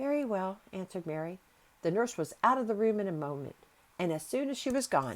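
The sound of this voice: Lively intonation colors an unforced reading voice.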